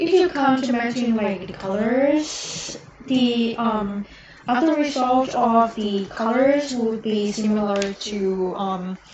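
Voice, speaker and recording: Over noticeable background noise, a woman with a non-native accent speaks very slowly at a fairly high pitch with ordinary pitch variation. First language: not English. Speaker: miniature painter streamer. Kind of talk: live stream painting tutorial. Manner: halting, many fillers.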